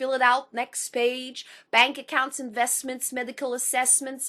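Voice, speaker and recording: Her voice is high-pitched. This woman has a bright, sharp tone. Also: quiet background. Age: 30s. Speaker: spoken word poet. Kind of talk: spoken word poetry; personal account. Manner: slow; halting.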